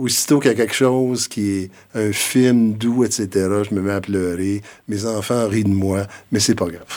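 In a plain, everyday voice, a man speaks at a fairly slow pace and a fairly low pitch, with fairly even intonation. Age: 60s. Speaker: retired school principal and education consultant. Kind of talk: interview conversation.

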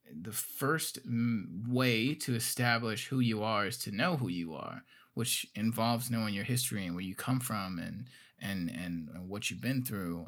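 A man with an American accent talks at a moderate pace with lively intonation, on a very clean recording with a silent background. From Gary, Indiana. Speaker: podcast host. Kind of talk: interview. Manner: halting, many fillers and repeats.

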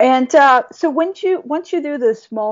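Speaking with a Bosnian accent, a woman talks at a moderate pace with lively intonation. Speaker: motivational speaker. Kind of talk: interview.

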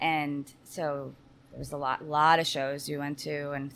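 Speaking at a fairly slow pace, a woman talks with an American accent. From New Jersey. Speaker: bar owner and sales executive. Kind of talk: casual interview. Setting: on location in a house bar.

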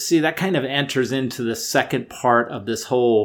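A man speaks at a moderate pace in an unremarkable speaking voice, with ordinary pitch variation. The recording is very clean, with a silent background. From US. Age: 50s. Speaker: podcast host and amateur ultrarunner. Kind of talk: solo podcast monologue.

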